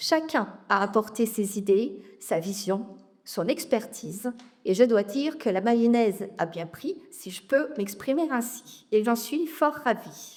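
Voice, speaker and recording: Her pace is very slow. The woman uses lively intonation at a fairly high pitch. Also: big swings in loudness. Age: 40s. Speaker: local election candidate. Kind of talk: campaign speech at public meeting. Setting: public meeting with audience.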